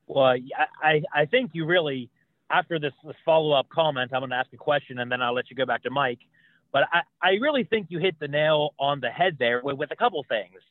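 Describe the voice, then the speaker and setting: A normal speaking voice with an American accent, at a fairly quick pace with ordinary pitch variation. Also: man, fairly high pitch for a man. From US, Pittsburgh. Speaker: podcast co-host. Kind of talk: interview.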